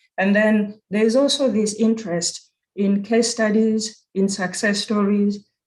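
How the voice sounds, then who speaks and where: Someone with a Kenyan accent speaks at a fairly slow pace. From Kenya (Nairobi). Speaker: university program director. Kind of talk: conference presentation. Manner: halting with self-corrections.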